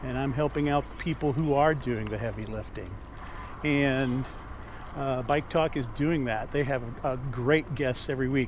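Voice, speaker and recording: A plain, everyday voice from a man with an American accent, medium pitch, fairly even intonation and a moderate pace. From Omaha, Nebraska, USA. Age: 60s. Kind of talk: casual talk to camera. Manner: conversational, with frequent filler words.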